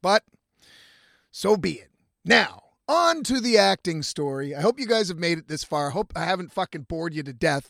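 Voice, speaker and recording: A man speaks loudly at a moderate pace, with a high pitch and lively intonation. The recording is very clean with a silent background, and the sound is dry and close with no echo. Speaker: podcast host and musician. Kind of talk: casual monologue. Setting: in a camper van by the road.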